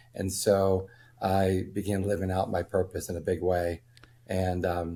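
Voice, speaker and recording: On a very clean recording with a silent background, a man speaks in a very deep, low voice, dark and mellow, somewhat breathy, with monotone, flat intonation. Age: 60s. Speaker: former wealth management firm owner. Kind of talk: interview. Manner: halting, many fillers.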